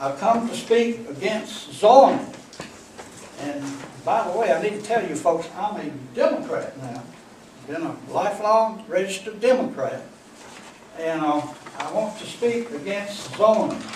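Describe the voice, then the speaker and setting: Speaking fairly slowly with long, frequent pauses, a man with a North Carolina accent and a high pitch uses lively intonation, with audible room echo and noticeable background noise. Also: big swings in loudness. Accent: US Southern (North Carolina). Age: 80s+. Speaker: public commenter, farmer. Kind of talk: public comment at a meeting. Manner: halting, many fillers.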